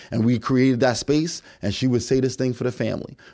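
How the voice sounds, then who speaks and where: With an American accent, a man talks at a fairly quick pace in a normal speaking voice with a medium pitch. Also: very clean recording, silent background. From New York City. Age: 40s. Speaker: podcast guest. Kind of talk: casual chat.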